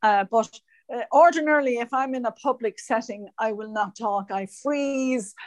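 In an Irish accent, a woman speaks at a moderate pace with a fairly high pitch and ordinary pitch variation, in a dry, close sound with no echo. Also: quiet background. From Ireland.

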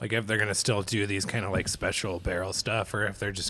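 Bright and sharp in tone, a man's fairly low voice holds a monotone, flat intonation on a very clean recording with a silent background. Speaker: stand-up comedian and podcast co-host. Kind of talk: casual chat. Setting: on location in a brewery.

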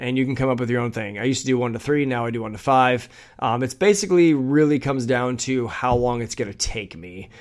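Delivered at a very fast pace with hardly any pauses, this animated voice shows ordinary pitch variation. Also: man, medium pitch for a man. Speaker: business coach and podcast host. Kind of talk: solo podcast monologue, coaching advice. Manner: fast talker; animated, many filler words.

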